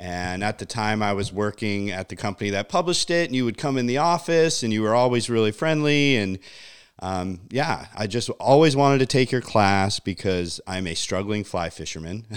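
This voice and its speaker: In a very clean recording with a silent background, a man talks at a moderate pace with lively intonation. His fairly low-pitched voice is an unremarkable speaking voice. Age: 40s. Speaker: podcast host. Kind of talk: casual interview. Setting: living room.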